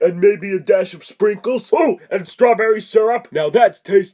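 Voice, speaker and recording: A man puts on a cartoonish character voice pitched high. He keeps a moderate pace. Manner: sarcastic, irritable.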